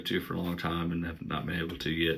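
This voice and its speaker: A man with an Appalachian accent has a very deep, low pitch. He speaks at a moderate pace in a bright, sharp tone. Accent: Appalachian Southern. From Southeast Kentucky, Appalachia. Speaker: musician and book vlogger. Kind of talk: casual vlog, answering tag questions. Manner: hesitant, many fillers.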